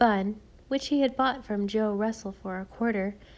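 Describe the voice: Plain reading aloud shows ordinary pitch variation.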